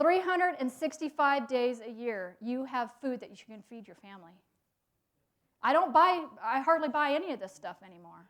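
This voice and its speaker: An animated tone at a fairly quick pace. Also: woman. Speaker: gardening teacher. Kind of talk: lecture. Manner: fast.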